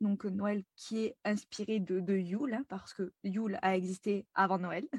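The voice is somewhat breathy and fairly slow. The sound is dry and close, with no echo. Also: woman. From France. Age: 20s. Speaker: spiritual guide. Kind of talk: interview. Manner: lively.

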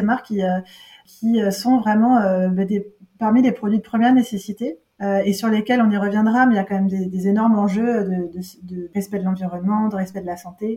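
Fairly quick delivery with fairly even intonation. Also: woman. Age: 40s. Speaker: entrepreneur. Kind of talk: interview. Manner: halting.

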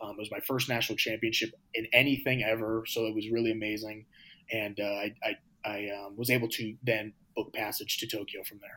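Talking at a fairly quick pace with an American accent, a man keeps a monotone, flat intonation while his loudness swings widely. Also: medium pitch for a man. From USA. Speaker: professional shot putter. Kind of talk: interview. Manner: halting, many fillers.

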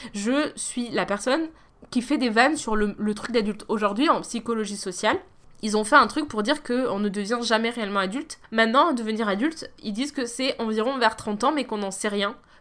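Talking fairly quickly, a woman has a plain, everyday voice, fairly high in pitch with ordinary variation. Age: 30s. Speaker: podcast host. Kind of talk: solo monologue. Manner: casual.

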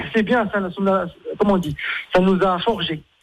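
The man talks at a fairly slow pace. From Morocco. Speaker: chef. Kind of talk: radio interview.

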